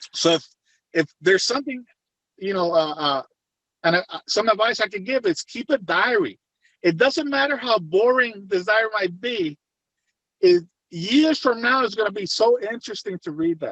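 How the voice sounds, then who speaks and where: A man with a Puerto Rican accent talks at a moderate pace and a high pitch, his intonation lively and broken by long, frequent pauses. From Puerto Rico. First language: Spanish. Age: 50s. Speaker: retired federal agent turned private investigator. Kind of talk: interview. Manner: halting.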